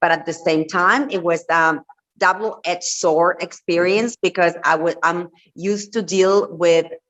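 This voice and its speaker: Speaking with a Spanish accent, a woman with a fairly low pitch keeps her loudness very even and her intonation fairly even. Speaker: entrepreneur and reality TV personality. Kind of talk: interview.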